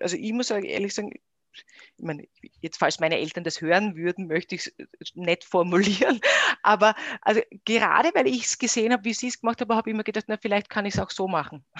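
A woman has a normal speaking voice at a medium pitch, speaking at a fairly quick pace with lively intonation. The sound is dry and close with no echo. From Austria, Styria. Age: 30s. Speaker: company founder. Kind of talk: interview.

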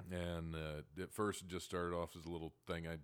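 Speaking at a fairly quick pace, a man with a Midwestern American accent has a very deep, low pitch. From Ohio, near Dayton. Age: 40s. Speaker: stand-up comedian. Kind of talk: casual interview.

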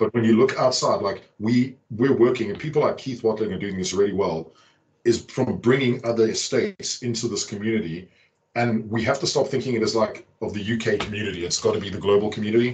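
A somewhat breathy male voice at medium pitch, fairly quick, with ordinary pitch variation. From South Africa. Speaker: tech architect and community figure. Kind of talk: casual chat. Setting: video call.

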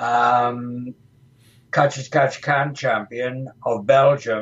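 A somewhat breathy voice with an English accent. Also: man. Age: 70s. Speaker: retired professional wrestler. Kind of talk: interview. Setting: studio.

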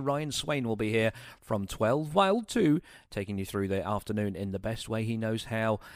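With a British accent and a playful tone, a man talks at a moderate pace, his pitch swinging very widely. The recording is very clean, with a silent background. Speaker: radio host. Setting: radio studio broadcast. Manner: chatty, playful, bantering with listeners; camp, tongue-in-cheek self-mocking humour.

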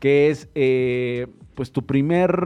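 This man's pitch is fairly high, with ordinary variation. He has an unremarkable speaking voice. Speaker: radio host. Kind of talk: radio talk show.

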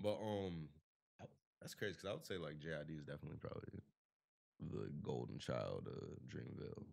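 A man with a very deep, low pitch and vocal fry talks at a moderate pace, his intonation lively and broken by long, frequent pauses. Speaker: podcast host. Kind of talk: casual chat.

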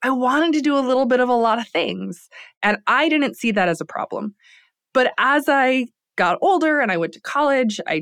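Over a quiet background, a woman with an American accent and an unremarkable speaking voice talks at a fairly quick pace. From US Midwest, Lansing, Michigan. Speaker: entrepreneur and business professor. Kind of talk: casual interview chat.

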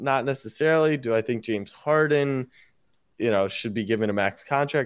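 A man speaks in a plain, everyday voice at medium pitch with ordinary pitch variation, on a very clean recording with a silent background. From US, Maryland (Baltimore). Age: 20s. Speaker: sports media entrepreneur. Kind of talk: casual chat.

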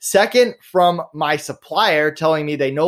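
In an ordinary speaking voice, a man talks at a fairly high pitch with lively intonation, captured on a very clean recording with a silent background. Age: 30s. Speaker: entrepreneur. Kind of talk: interview.

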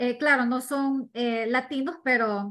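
Ordinary pitch variation runs through this woman's normal speaking voice. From Ecuador. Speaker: real estate investor. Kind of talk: interview.

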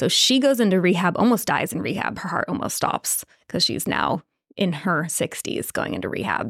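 Moving through very wide pitch swings from a medium base, a woman talks at a moderate pace with vocal fry. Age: 30s. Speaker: dating and relationship coach. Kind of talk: casual chat.

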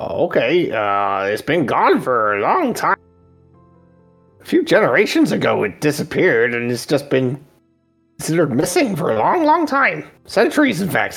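In a put-on character voice, a man speaks at a high pitch and a moderate pace. Faint music plays behind him. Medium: actual play. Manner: casual, friendly, slightly cautious.

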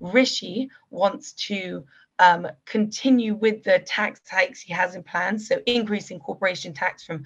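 Somewhat breathy, a woman with a medium pitch and a British accent talks at a fairly slow pace with ordinary pitch variation. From UK. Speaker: political commentator. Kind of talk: interview.

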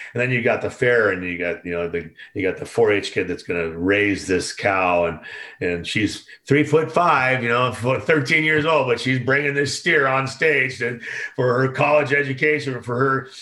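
This man has a plain, everyday voice with an American accent and a medium pitch. He talks at a moderate pace with lively intonation. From Oakland, California. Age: 60s. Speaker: concert production veteran. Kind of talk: casual chat.

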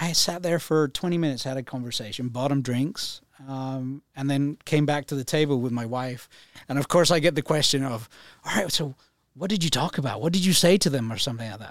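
A man talks at a fairly quick pace in a fairly high pitch with ordinary pitch variation. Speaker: financial advisor. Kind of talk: interview. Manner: calm.

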